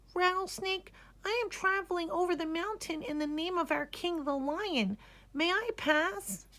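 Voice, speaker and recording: Squeaky and extremely high-pitched, this put-on character voice moves at a moderate pace. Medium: read story. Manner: polite, humble.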